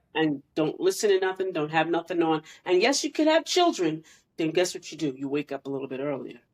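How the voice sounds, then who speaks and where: In an ordinary speaking voice, a woman talks at a fairly quick pace and a fairly low pitch, with ordinary pitch variation. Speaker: podcast co-host. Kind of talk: casual chat.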